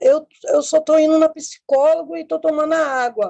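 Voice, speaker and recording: Dry and close with no echo, the recording carries a dark, mellow tone. The pace is moderate. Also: woman. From Rio de Janeiro, Brazil. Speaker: caller. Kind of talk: asking for advice.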